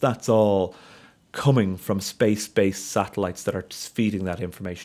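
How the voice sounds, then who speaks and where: Fairly low-pitched and fairly even in intonation, a man speaks with a Dublin accent at a moderate pace. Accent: Dublin Irish. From Ireland, north Dublin. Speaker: solar physicist. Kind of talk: interview conversation.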